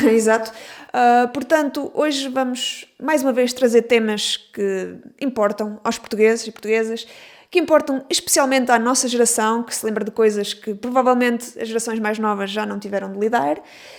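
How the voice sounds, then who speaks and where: A woman with a fairly high voice and ordinary pitch variation speaks at a moderate pace against noticeable background noise. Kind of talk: casual podcast conversation.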